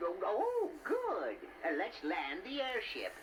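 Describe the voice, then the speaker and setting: Someone performs a put-on character voice at a fairly slow pace with clear background noise behind it. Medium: audio drama. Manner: stammering, hesitant.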